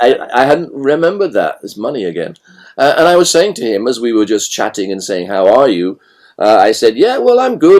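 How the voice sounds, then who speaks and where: Vocal fry shows up in speech that swings very widely in pitch. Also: man. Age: 60s. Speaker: author on synchronicity. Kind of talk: podcast interview.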